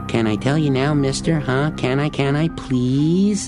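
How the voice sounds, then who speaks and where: Loud music plays in the background behind a put-on character voice. It moves at a moderate pace with a low-to-middle pitch. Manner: pleading, exaggerated.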